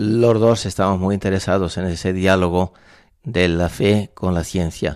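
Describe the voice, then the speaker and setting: Recorded very cleanly against a silent background, a man with a very deep, low voice speaks fairly slowly, his intonation fairly even. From Spain, La Mancha (Valdepeñas, Ciudad Real). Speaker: priest and university rector. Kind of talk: radio interview. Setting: radio studio.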